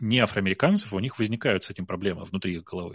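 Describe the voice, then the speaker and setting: A man's voice, dry and close with no echo, against a quiet background. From Russia. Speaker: tech entrepreneur. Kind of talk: casual chat. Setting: live stream.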